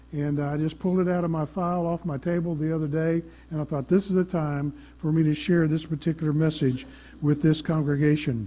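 A man's dark, mellow tone at a fairly quick pace with ordinary pitch variation. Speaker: pastor. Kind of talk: sermon. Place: church.

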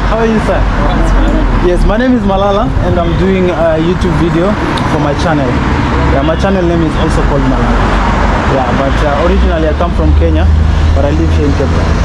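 Loud background noise surrounds a man who talks very fast. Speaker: travel vlogger. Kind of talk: casual vlog chat. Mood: amazed, upbeat. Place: street. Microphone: phone near.

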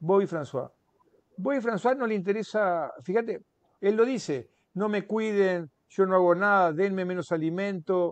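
At a fairly slow pace, a man speaks in a high pitch, the sound dry with no echo. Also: quiet background. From Uruguay. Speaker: author; interviewee. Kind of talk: interview. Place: home room. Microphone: earbuds.

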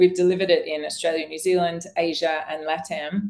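With ordinary pitch variation, the delivery keeps a fairly quick pace. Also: woman. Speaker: coaching company founder and chief executive. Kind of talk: webinar discussion. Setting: video call. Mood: upbeat, promotional. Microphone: video call.

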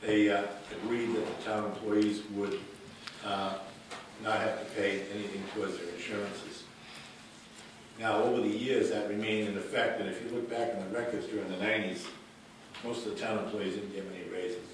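Over noticeable background noise and strong room echo, a man talks at a fairly quick pace in a monotone, flat delivery. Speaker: resident speaking at public comment. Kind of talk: public comment recollection. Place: meeting room. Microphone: camera far.

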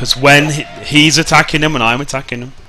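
Noticeable background noise accompanies a man whose pitch is fairly high and whose intonation stays fairly even. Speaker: gaming video creator. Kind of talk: gameplay commentary. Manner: casual, rambling with repeated words.

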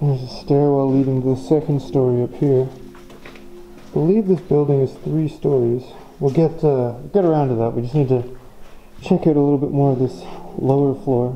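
Over music in the background, a woman with a very deep, low pitch speaks at a moderate pace with ordinary pitch variation. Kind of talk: casual commentary. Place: hall. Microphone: phone near.

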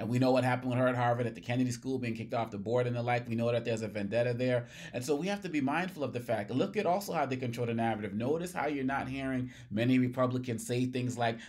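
A man talks at a very fast pace with hardly any pauses. His pitch variation is ordinary, and the background is quiet. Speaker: political commentator. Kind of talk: commentary. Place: office.

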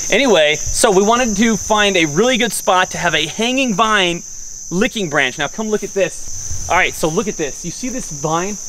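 A man is speaking at a moderate pace. Light background noise can be heard. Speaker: hunting video host. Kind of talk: outdoor tutorial. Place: open country. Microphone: camera far.

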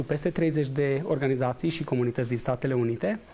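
Speaking at a fairly quick pace, a man has a fairly high pitch, a dark, mellow tone and ordinary pitch variation. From Romania. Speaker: entrepreneur and investor; guest. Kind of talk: TV interview. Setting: studio. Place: studio. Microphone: lapel.

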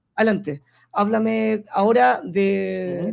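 This is a man's voice. His pitch is high. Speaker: radio host. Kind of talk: radio interview.

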